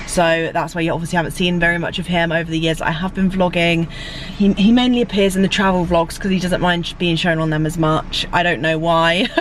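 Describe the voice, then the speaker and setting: Amid noticeable background noise, a woman talks at a very fast pace with a fairly low pitch. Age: 20s. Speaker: vlogger. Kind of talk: casual vlog chat. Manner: animated.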